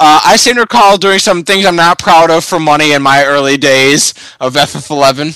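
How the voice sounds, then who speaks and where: Speaking at a moderate pace with a Midwestern American accent, a man has a fairly high pitch and a bright, sharp tone. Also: ordinary pitch variation. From Michigan. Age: 20s. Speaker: podcast host. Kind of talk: casual chat.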